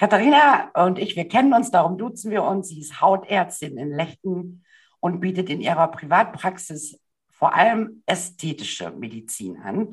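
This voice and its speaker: Somewhat breathy, a woman speaks at a medium pitch and a moderate pace. Her intonation is lively, with big swings in loudness. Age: 50s. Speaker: podcast host and style coach. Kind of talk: interview.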